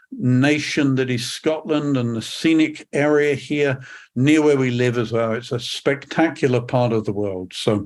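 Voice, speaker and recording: A man with a British accent speaks at a moderate pace, medium in pitch with ordinary pitch variation. The recording is very clean, with a silent background. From England. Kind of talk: podcast interview.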